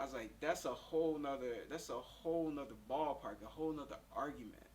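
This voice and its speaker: Speaking at a fairly quick pace with an American accent, a man keeps his intonation fairly even as audible room echo surrounds him. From US South, Pensacola, Florida. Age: 30s. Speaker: interviewee, kidney failure patient. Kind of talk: interview.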